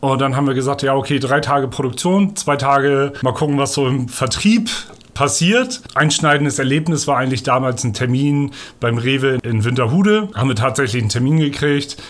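A man speaks fairly quickly in a normal speaking voice, fairly high in pitch. His pitch varies in an ordinary way and his loudness stays very even. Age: 30s. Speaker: sales representative. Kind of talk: interview. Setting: in person, over coffee.

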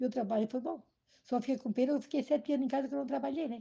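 With a high voice and ordinary pitch variation, a woman talks very fast. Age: 70s. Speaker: retired cook. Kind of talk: family interview. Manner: halting.

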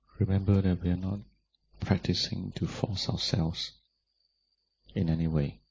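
At a moderate pace, a man with a very deep, low pitch talks in a somewhat breathy voice with fairly even intonation and long, frequent pauses. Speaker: Buddhist monk, meditation teacher. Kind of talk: guided meditation. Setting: live retreat with people in the room. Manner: gentle, instructional, with long pauses.

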